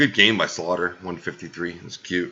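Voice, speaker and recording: The man's pitch is very deep and low. He speaks quietly. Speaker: fantasy football league podcast host. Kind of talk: casual podcast recap. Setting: at home at night, family sleeping. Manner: deliberately quiet, low volume.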